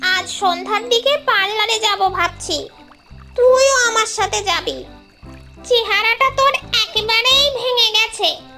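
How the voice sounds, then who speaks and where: A woman's cartoonish character voice at an extremely high pitch and fairly slow pace, with faint music in the background. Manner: chatty, scolding, calls others bapu.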